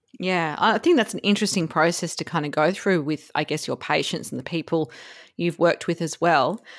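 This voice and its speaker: Speaking in an Australian accent with ordinary pitch variation, the voice comes through a very clean recording with a silent background. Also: woman, fairly low pitch for a woman. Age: 40s. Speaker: podcast host. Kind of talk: interview.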